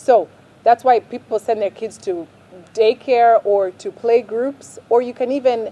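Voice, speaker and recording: Using a plain, everyday voice, a woman speaks at a fairly high pitch and fairly slow pace, with ordinary pitch variation and a dry, close sound with no echo. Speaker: parenting vlogger. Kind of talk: advice talk to camera.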